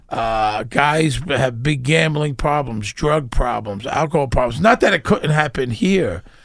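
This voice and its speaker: At a fairly slow pace yet with hardly any pauses, a man speaks in a Brooklyn accent at a fairly high pitch, his loudness very even and his intonation lively. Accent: New York (Brooklyn). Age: 60s. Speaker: actor. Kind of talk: casual chat. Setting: studio.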